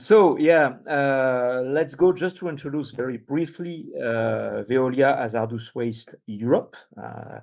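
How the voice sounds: A man talks slowly with few pauses, at a medium pitch and in a slightly mellow tone. His voice has vocal fry and ordinary pitch variation.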